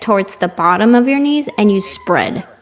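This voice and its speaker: A woman speaks with a non-native accent. Noticeable background noise runs behind her. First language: not English. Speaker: gymnastics commentator. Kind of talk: live commentary. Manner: excitable.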